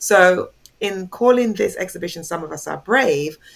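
A woman speaks with a London accent. Her pace is fairly slow. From England (London), born in Jamaica. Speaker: art curator. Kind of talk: interview.

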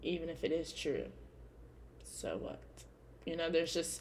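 A woman with an American accent at a moderate pace, with audible room echo. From California. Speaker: podcast host. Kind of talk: casual solo podcast monologue.

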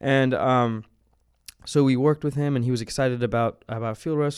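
A man with an American accent speaks at a fairly quick pace. The recording is very clean, with a silent background. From US South, New Orleans. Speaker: creative director at a media company. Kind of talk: casual interview. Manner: hesitant, many fillers.

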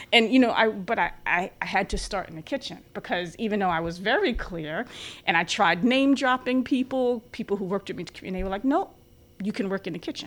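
A woman's fairly high voice with lively intonation, on a very clean recording with a silent background. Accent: New York. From New York City area (Bronx, Long Island). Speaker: physician assistant. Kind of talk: interview.

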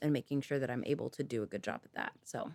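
Recorded very cleanly against a silent background, a woman's voice sounds dry and close, with no echo. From Northern California. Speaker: physician. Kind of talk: casual interview chat.

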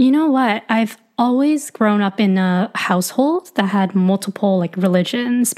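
The speech runs at a fairly slow pace with ordinary pitch variation. The recording is very clean, with a silent background. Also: woman. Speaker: coach and creator. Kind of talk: casual interview chat.

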